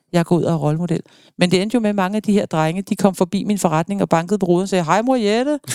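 A woman with a dark, mellow tone and medium pitch speaks at a very fast pace, with ordinary pitch variation, in a dry, close sound with no echo. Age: 50s. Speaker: foster parent and volunteer for children in care. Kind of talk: emotional interview. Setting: studio.

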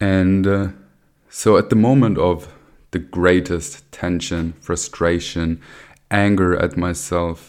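A man's very deep, low pitch with ordinary pitch variation at a very slow pace, on a very clean recording with a silent background. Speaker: podcast contributor. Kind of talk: personal story monologue.

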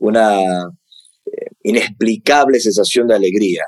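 Here a man speaks at a medium pitch and a moderate pace. The sound is dry and close, with no echo. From Peru, Lima. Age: 40s. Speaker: UFO researcher and author. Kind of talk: interview conversation.

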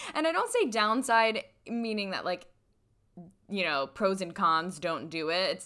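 The tone is bright and sharp, with lively intonation. Delivery moves at a moderate pace. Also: woman. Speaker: podcast host and coach. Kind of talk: solo monologue podcast. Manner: relaxed, flowing.

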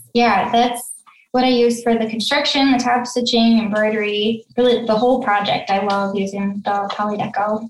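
A soft-spoken woman at a moderate pace, fairly high in pitch, with fairly even intonation. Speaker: sewing pattern designer and business founder. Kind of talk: casual interview.

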